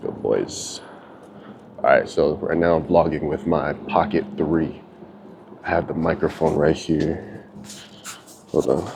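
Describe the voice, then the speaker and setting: Soft-spoken, a man talks at a fairly slow pace with long, frequent pauses. Noticeable background noise runs behind him. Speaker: vlogger. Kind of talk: casual vlog monologue. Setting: outdoors walking dogs.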